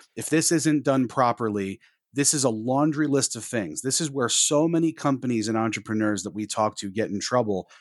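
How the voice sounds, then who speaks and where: A man talks at a fairly quick pace in an ordinary speaking voice with ordinary pitch variation. The background is quiet. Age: 30s. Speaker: tech consultant and podcast co-host. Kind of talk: casual chat.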